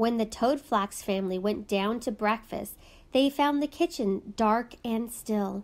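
A natural reading voice, ordinary in how its pitch varies

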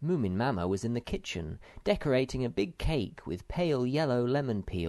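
The clip offers a natural reading voice.

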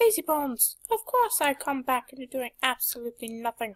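A female-sounding voice does a put-on character voice, pitched high for a woman. She talks at a fairly quick pace. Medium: dub. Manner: loud, exasperated.

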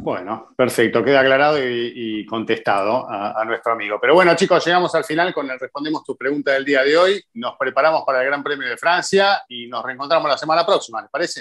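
Talking at a fairly quick pace with hardly any pauses, a man with an Argentine accent uses a fairly high pitch and lively intonation against a quiet background. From Argentina. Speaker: motorsport show host. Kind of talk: casual chat. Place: home room. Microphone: video call.

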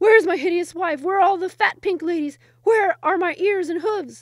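A woman's put-on character voice, extremely high in pitch, raised and projected at a fairly quick pace. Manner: sputtering.

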